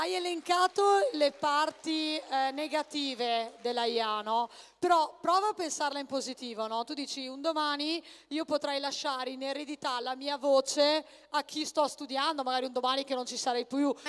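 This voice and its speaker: Using ordinary pitch variation, a woman speaks at a moderate pace in a high pitch. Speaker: convention panel moderator. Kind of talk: live event hosting. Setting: stage with audience. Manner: animated.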